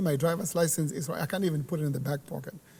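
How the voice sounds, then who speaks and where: The speaker has a Zimbabwean accent. The intonation is fairly even. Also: man. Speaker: church worker. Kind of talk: casual chat. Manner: halting.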